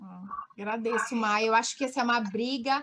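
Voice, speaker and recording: High female pitch with ordinary variation in a woman's voice. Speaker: physiotherapy lecturer. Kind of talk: webinar Q&A.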